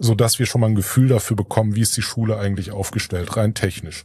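The man's voice sits fairly low, with a dark, mellow tone. It is somewhat breathy. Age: 40s. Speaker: association board member, IT entrepreneur. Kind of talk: interview. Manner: hesitant with many filler sounds.

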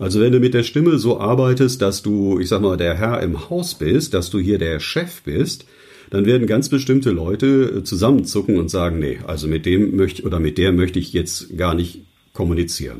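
At a moderate pace, a man speaks with a fairly low pitch, a dark, mellow tone, lively intonation and a somewhat breathy quality. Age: 60s. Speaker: news announcer and voice coach. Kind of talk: interview.

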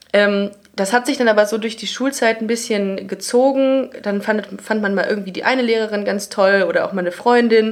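Over noticeable background noise, a woman speaks at a fairly high pitch with fairly even intonation. Her pace is moderate, with hardly any pauses. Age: 30s. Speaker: comedy writer and podcaster. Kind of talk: casual interview chat. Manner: sometimes stumbling over words.

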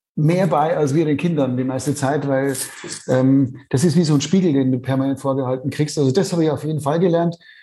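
This man's voice is fairly high in pitch, with a dark, mellow tone and a somewhat breathy quality. He talks at a fairly quick pace with fairly even intonation against a quiet background. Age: 50s. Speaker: author and parent. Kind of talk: interview. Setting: remote call.

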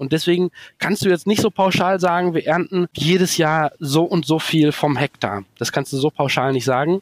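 The voice comes at a moderate pace with ordinary pitch variation and very even loudness, in a dry, close sound with no echo. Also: man, fairly high pitch for a man. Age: 40s. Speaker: organic asparagus farmer. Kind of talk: interview. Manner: halting.

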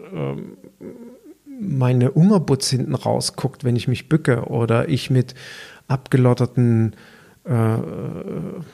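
At a very slow pace, a man talks in a dark, mellow tone at medium pitch with ordinary pitch variation. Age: 50s. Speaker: personal trainer and podcast host. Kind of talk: solo podcast monologue.

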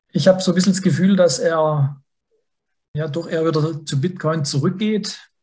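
Dark and mellow in tone, a man speaks at a fairly high pitch and a moderate pace with fairly even intonation. He leaves long, frequent pauses. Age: 40s. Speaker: finance journalist. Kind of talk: casual chat.

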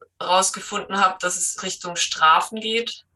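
A woman's medium-pitched voice. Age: 30s. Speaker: trainee dog trainer, dog owner. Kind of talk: interview. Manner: hesitant, many filler sounds.

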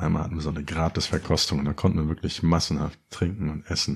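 Speaking at a fairly quick pace, a man has a very deep, low pitch and a dark, mellow tone. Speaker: podcast host. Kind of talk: solo podcast monologue. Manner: casual, joking.

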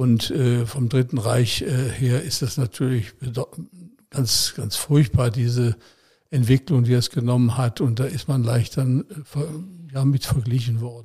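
Speaking very slowly, a man with a medium pitch and ordinary pitch variation sounds somewhat breathy and has a dark, mellow tone. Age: 80s+. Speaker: retired politician and former police detective. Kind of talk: interview.

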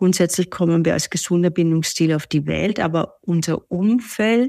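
This is a plain, everyday voice with fairly even intonation. The recording is very clean with a silent background, dry, close sound with no echo. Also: woman. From Austria, Vienna. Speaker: relationship coach. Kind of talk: interview.

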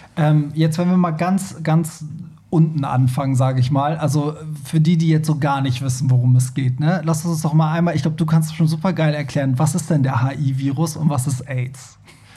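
The speech comes at a moderate pace with fairly even intonation, backed by noticeable background noise and audible room echo. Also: man, fairly high pitch for a man. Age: 30s. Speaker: podcast host. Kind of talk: casual chat.

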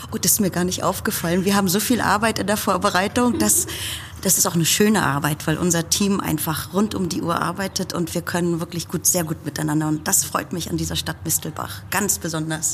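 A woman's fairly low, lively voice at a fairly quick pace, over noticeable background noise. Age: 50s. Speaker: puppet theatre festival director. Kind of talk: interview.

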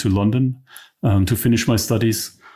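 At a moderate pace, a man with a German accent speaks on a very clean recording with a silent background. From East Germany. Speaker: tech company co-founder and CTO. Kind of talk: interview. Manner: halting.

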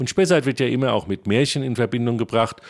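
A man talks with a medium pitch, heard on a very clean recording with a silent background. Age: 50s. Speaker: historian and archaeology project leader. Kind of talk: interview.

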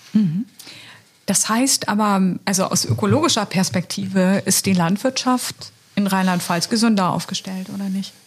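This is a woman with a plain, everyday voice. She speaks at a moderate pace and medium pitch, with ordinary pitch variation. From Lower Saxony. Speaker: podcast host and member of parliament. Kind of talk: podcast interview. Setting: studio in party office.

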